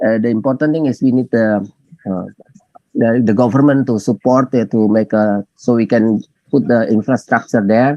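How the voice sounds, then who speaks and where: In a dry, close sound with no echo, a man with an Indonesian accent speaks at a medium pitch and moderate pace, his tone dark and mellow and his intonation fairly even. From Maluku, Indonesia. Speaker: tunnel engineer and lecturer. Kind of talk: webinar Q&A answer. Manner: halting, many fillers.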